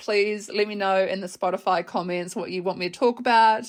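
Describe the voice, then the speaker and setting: A woman is talking. Her accent is Australian. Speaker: podcast host. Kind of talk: casual chat. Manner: casual with filler words.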